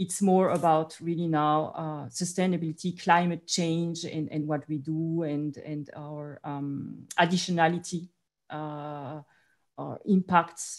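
A woman with a very deep, low pitch speaks at a fairly slow pace in a monotone, flat intonation, with a quiet background. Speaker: finance executive; panelist. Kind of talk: panel discussion. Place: home room. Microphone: video call.

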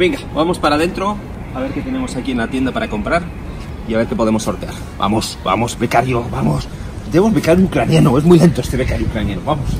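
A man at medium pitch, talking at a very fast pace with very wide pitch swings amid noticeable background noise. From Spain. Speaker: travel vlogger. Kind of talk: casual vlog walkthrough. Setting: on location, stadium shop and museum. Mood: jokey, playful teasing. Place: street.

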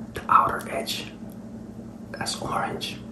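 A man is speaking. He whispers. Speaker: food reviewer. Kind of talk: casual review vlog chat. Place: kitchen. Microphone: phone near.

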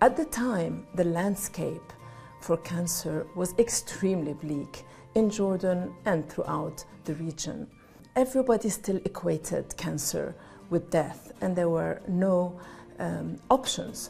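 Speaking at a very slow pace, a woman with a fairly low pitch and ordinary pitch variation is heard over faint music in the background. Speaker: interviewee. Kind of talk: interview answer. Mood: earnest, composed. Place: home room. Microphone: lapel.

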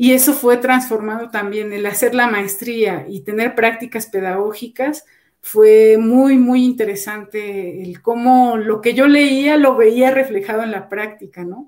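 A woman speaks at a fairly slow pace with hardly any pauses and ordinary pitch variation. Her loudness swings widely against a quiet background. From Mexico, Zacatlán, Puebla; Puebla, Mexico. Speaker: music education professor. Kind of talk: interview. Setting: video call. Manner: halting, many repetitions. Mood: reflective, calm. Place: home room.

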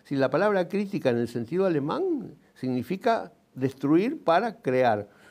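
Speaking at a fairly slow pace, a man uses a fairly high pitch with very wide pitch swings. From Uruguay, Montevideo; Uruguay. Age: 70s. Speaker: engineer and writer; interviewee. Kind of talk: TV interview. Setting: TV studio. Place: studio. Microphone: lapel.

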